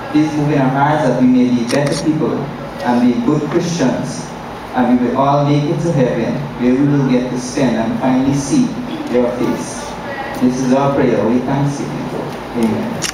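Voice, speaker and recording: A man at a moderate pace with long, frequent pauses and ordinary pitch variation, amid strong room echo and noticeable background noise. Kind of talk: prayer. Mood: solemn, earnest. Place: church.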